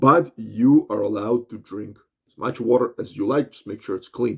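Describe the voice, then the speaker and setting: A man speaks at a medium pitch with a somewhat breathy quality. His pace is moderate, his pitch varies normally, and his loudness swings widely. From Russia. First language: Russian. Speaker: health and fitness vlogger. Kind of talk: monologue tutorial. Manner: animated; halting.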